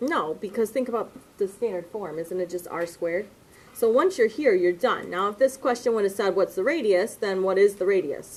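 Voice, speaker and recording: Here is a plain, everyday voice from a woman, pitched at medium. She talks at a fairly quick pace with lively intonation. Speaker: math teacher. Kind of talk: lecture.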